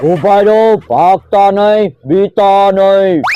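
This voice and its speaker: At a middle pitch, a cartoonish character voice performs over sound effects in the background. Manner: reassuring, friendly.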